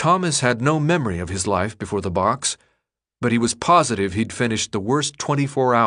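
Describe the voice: Plain reading aloud comes with lively intonation over a quiet background.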